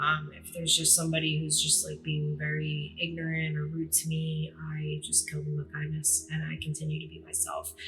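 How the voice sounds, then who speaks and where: With music playing in the background, the speech moves at a fairly quick pace. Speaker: podcast host. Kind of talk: casual monologue. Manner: fast; hesitant, many fillers.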